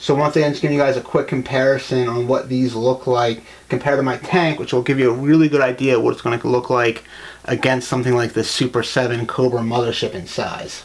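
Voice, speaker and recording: Over noticeable background noise, a man with a medium-pitched voice talks at a very fast pace with fairly even intonation. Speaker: toy collector YouTuber. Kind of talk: casual video review. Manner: hesitant, filler-heavy.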